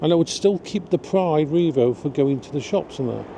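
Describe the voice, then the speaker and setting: A man with an English accent, ordinary pitch variation and noticeable background noise. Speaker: vlogger. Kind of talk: casual vlog monologue. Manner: slow.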